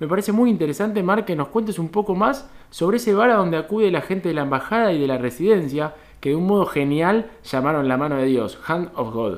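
A man speaks with a high pitch. His intonation is lively and his pace fairly quick. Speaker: podcast co-host. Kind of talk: interview.

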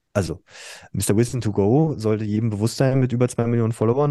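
A man talks very fast at a medium pitch, with ordinary pitch variation. The sound is dry and close with no echo, and the background is quiet. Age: 40s. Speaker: school principal. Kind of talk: casual chat.

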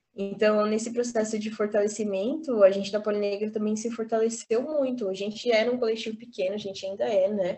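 An ordinary speaking voice from a woman, fairly high in pitch, fairly quick with hardly any pauses and fairly even intonation. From Brazil, São Paulo (Capão Redondo). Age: 20s. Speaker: university student and activist. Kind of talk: casual interview.

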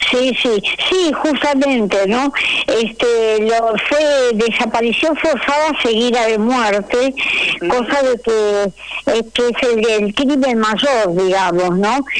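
Amid noticeable background noise, a woman talks very slowly at a fairly high pitch. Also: ordinary pitch variation, very even loudness. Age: 80s+. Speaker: human rights activist, mother of disappeared. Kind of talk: radio interview.

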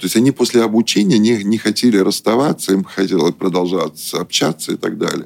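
A man with a plain, everyday voice and fairly low pitch. The sound is dry and close, with no echo. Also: ordinary pitch variation. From Russia, moved around the Soviet Union as a military child. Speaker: business consultant and company director. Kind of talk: radio interview.

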